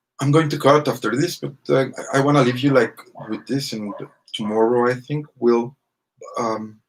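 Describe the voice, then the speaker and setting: A man in a Spanish accent, medium in pitch and moderate in pace, with fairly even intonation and long, frequent pauses. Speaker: vlogger. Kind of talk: casual monologue to camera. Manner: halting, many fillers.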